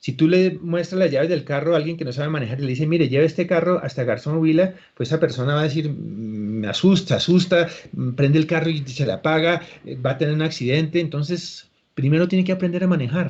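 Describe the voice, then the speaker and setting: Very fast speech from a man, fairly high in pitch, with ordinary pitch variation. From Colombia. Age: 60s. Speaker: actor and acting teacher. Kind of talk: interview.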